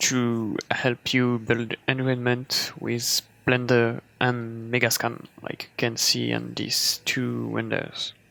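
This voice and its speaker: Amid noticeable background noise, a man with a French accent speaks at a very slow pace. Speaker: 3D artist tutorial creator. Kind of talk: tutorial. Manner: casual, hesitant.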